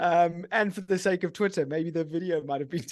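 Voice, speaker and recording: The background is quiet as a man speaks with a strong British accent at a moderate pace. His pitch is high, and it varies in an ordinary way. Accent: pretty strong British. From England (born Guildford, Surrey). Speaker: football fan guest. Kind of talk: casual chat.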